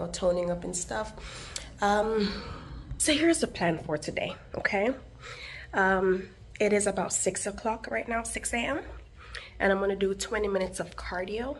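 Over light background noise, a woman with vocal fry talks at a moderate pace with ordinary pitch variation and long, frequent pauses. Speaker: fitness vlogger. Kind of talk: casual vlog chat. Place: garage. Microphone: phone near.

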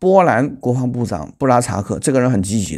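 A man speaking at a fairly quick pace over a quiet background. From China. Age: 40s. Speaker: political commentary YouTuber. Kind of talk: news commentary monologue. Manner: halting, many fillers. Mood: critical, opinionated. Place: home room. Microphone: lapel.

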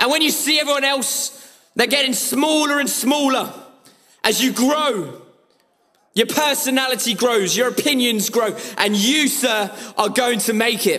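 A man's extremely high-pitched, raised and projected voice, animated in tone, at a fairly slow pace with very even loudness. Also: ordinary pitch variation, quiet background. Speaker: trader giving motivation. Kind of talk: motivational pep talk to a live audience. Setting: stage with audience. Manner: animated, forceful, rallying, urgent; repetitive, punchy, commanding. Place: office.

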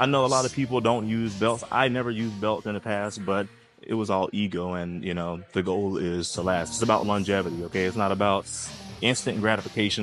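Clear music plays behind a man who speaks at a fairly quick pace and a fairly low pitch, with ordinary pitch variation. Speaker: fitness vlogger. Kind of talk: casual vlog chat. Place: gym.

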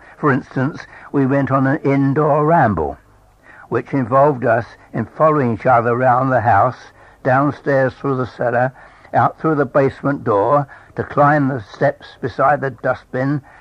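A man with a southern English accent, fairly slow pace and fairly even intonation. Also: medium pitch for a man. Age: 80s+. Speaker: storyteller. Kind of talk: reading aloud.

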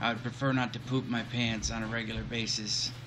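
A man talks at a moderate pace with monotone, flat intonation. Noticeable background noise runs under his voice. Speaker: gamer streamer. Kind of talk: gameplay commentary. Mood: tense, wry humor. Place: home room.

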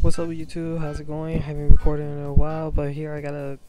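A man talks at a fairly quick pace with a fairly high pitch. Music plays in the background. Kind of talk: gameplay commentary. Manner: low-energy, flat.

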